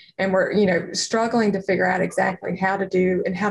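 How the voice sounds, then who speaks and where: A woman with an American accent speaks very fast at medium pitch, somewhat breathy and monotone with flat intonation. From North Carolina. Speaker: radiologist and startup founder. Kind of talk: interview. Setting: studio.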